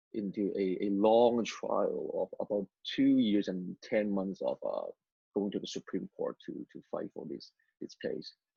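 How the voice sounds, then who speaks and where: Fairly slow speech from a man with a Cantonese accent. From Hong Kong, moved to Vancouver area at 12. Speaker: former rapper turned missionary. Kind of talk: testimony interview. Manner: halting, many repetitions and fillers.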